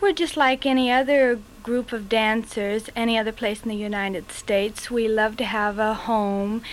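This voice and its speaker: A woman with an American accent has a plain, everyday voice, a fairly high pitch with ordinary pitch variation, and a moderate pace. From Los Angeles. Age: 20s. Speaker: showgirl dancer. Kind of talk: interview.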